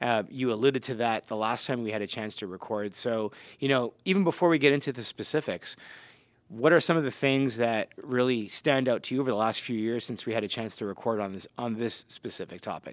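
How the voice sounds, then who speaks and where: At a fairly quick pace, a man in a normal speaking voice talks at medium pitch with ordinary pitch variation, recorded very cleanly over a silent background. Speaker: podcast host. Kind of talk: casual podcast conversation.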